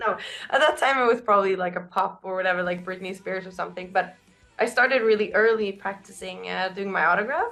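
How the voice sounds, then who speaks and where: Very fast and with ordinary pitch variation, a woman talks over music in the background. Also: medium pitch for a woman. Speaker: rock band singer. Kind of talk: interview. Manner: casual.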